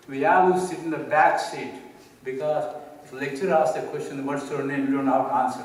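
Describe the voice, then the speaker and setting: A man with a Telugu accent speaks at a fairly quick pace in a fairly high pitch for a man, his loudness swinging widely, with noticeable background noise and audible room echo. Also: ordinary pitch variation. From India, Telangana village. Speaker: speaker. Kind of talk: personal story talk.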